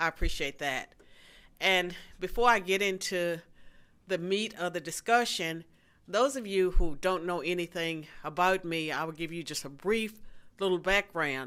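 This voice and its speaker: Woman with a bright, sharp tone at a fairly low pitch and moderate pace, in a very clean recording with a silent background. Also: ordinary pitch variation. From rural southwestern Virginia, US. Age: 60s. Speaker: political science professor and author. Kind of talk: policy lecture. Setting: stage with live audience.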